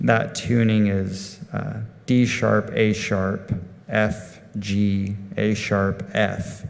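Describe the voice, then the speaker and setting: A man with a Texan accent speaks at a fairly low pitch. Audible room echo and noticeable background noise fill the recording. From Texas, Amarillo (Panhandle). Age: 30s. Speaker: instrumental guitarist. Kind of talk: on-stage Q&A with audience. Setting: stage with live audience. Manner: hesitant, many ums.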